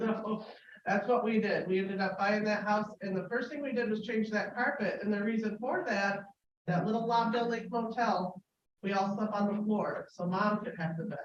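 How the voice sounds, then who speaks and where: Fairly high-pitched female voice with fairly even intonation and audible room echo. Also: moderate pace. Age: 40s. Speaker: public forum speaker sharing life story. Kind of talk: personal testimony. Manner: halting, with many fillers.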